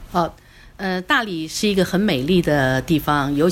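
Lively intonation runs through a woman's fairly low-pitched voice. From Taiwan, Kaohsiung. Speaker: tourism business owner. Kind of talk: casual chat. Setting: studio. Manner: halting.

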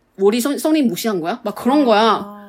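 Her fairly high voice moves with lively intonation as this woman speaks. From Taiwan. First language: Mandarin Chinese (speaking Korean). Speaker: podcast co-host. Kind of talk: casual chat.

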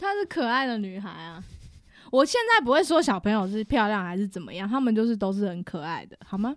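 An animated, fairly quick woman's voice, fairly high with lively intonation and a Taiwanese accent, on a very clean recording with a silent background. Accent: Taiwanese Mandarin. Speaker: teacher, returning guest. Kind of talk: casual chat, storytelling. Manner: animated, laughing often.

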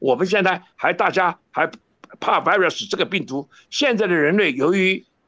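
Against a quiet background, a man speaks in a raised, projected voice that is high-pitched with a bright, sharp tone, at a moderate pace with ordinary pitch variation. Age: 70s. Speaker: professor. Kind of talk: interview.

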